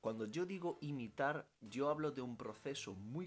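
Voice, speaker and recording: Over music in the background, a man talks at a moderate pace, his fairly high pitch carried by lively intonation. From Italy. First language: Italian (speaking Spanish). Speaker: language teacher and youtuber. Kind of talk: Q&A vlog.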